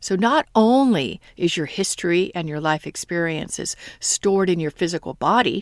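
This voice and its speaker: A plain, everyday voice, a woman at medium pitch with an American accent and lively intonation, very clean recording, silent background, dry, close sound with no echo. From United States. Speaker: podcast host and manifestation coach. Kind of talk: solo podcast monologue.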